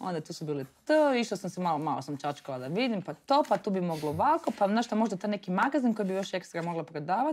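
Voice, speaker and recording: A woman at a medium pitch talks very fast, her pitch swinging very widely. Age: 30s. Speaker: entrepreneur, media founder; podcast guest. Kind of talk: interview. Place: studio.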